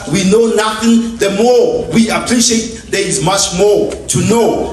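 Against light background noise and audible room echo, a man speaks in a high pitch with fairly even intonation. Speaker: host introducing the preacher. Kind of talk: formal speech introduction. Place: church. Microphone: pa.

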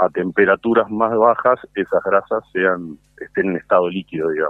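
A man speaks with a Rioplatense accent. His pace is fairly slow. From Ramos Mejía, Buenos Aires, Argentina. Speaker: butcher shop owner. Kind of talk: interview. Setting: phone call.

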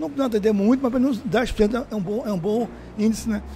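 A man's voice over light background noise. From Feira de Santana, Bahia, Brazil. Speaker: medical imaging company president. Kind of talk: interview. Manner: hesitant, many fillers. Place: hall. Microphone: handheld.

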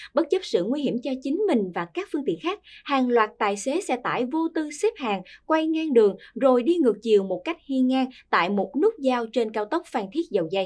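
High female voice with very wide pitch swings at a moderate pace. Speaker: news anchor. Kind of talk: news reading. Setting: studio. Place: studio. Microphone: lapel.

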